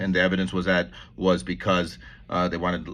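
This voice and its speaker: A man's very deep, low voice, bright and sharp in tone, with vocal fry and a very fast pace. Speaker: lawyer commentator on legal news. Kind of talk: casual monologue vlog. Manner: halting, many self-corrections.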